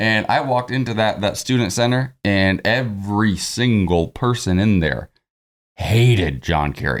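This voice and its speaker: This man has an ordinary speaking voice at a fairly low pitch, with lively intonation and very even loudness. The recording is very clean, with a silent background. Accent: American. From Ohio. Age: 40s. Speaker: podcast host. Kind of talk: casual chat.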